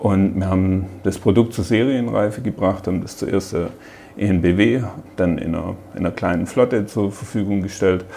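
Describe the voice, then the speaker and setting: A man's fairly low voice at a moderate pace, fairly even in intonation, with noticeable background noise. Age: 40s. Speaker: technical director. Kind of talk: interview. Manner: halting.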